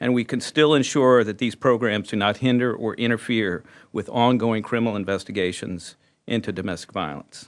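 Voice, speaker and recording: A man talks with an unremarkable speaking voice at a medium pitch. He moves at a fairly quick pace with ordinary pitch variation. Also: quiet background. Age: 60s. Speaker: prosecutor representing a prosecutors' association. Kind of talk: press conference speech. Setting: news conference. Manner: formal.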